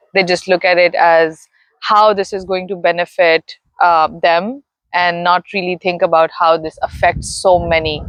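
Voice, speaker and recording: A woman with a Pakistani accent talks at a fairly slow pace in a fairly low, monotone, flat voice, the sound dry and close with no echo. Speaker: interviewee sharing personal story. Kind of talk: interview.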